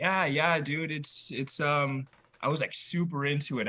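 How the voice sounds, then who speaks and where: Fairly high, bright, sharp male voice with an American accent and ordinary pitch variation. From Iowa, US Midwest (Waterloo). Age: 20s. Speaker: musician. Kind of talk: casual chat. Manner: halting, filler-heavy.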